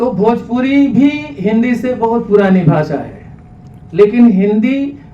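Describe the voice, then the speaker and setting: With a Bihari accent, a high-pitched man uses lively intonation over noticeable background noise and audible room echo. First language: Bhojpuri (speaking Hindi). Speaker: speaker on Hindi language. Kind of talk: speech to audience. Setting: hall with small audience. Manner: some hesitations.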